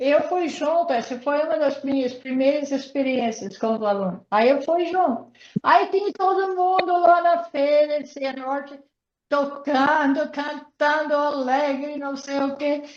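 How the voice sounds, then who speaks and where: The speaker has an English accent and a fairly slow pace. Pitch variation is ordinary. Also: woman, high pitch for a woman. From United States. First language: English (speaking Portuguese). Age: 80s+. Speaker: missionary speaker. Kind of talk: online interview. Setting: video call.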